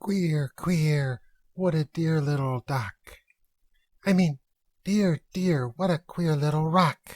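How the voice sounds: With long pauses coming often, a put-on character voice at a middle pitch proceeds very slowly.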